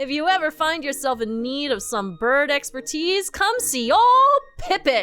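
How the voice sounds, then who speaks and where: A woman performs a put-on character voice at a moderate pace. She barely pauses at all. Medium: game stream. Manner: easygoing, friendly.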